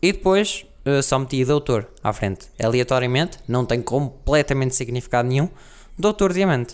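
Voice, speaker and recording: A man speaks at a moderate pace with a medium pitch and lively intonation. His loudness stays very even throughout. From Portugal, Guarda district village. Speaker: podcaster. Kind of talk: casual monologue.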